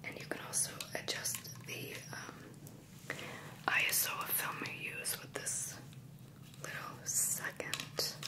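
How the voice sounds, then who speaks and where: A soft-spoken woman whispering at a very slow pace, with long, frequent pauses and loud background noise. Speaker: camera reviewer. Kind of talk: casual show-and-tell tutorial. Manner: soft close ASMR whisper. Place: home room.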